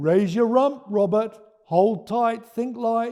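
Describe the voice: A man's put-on character voice, dark and mellow, pitched extremely high, with ordinary pitch variation at a slow pace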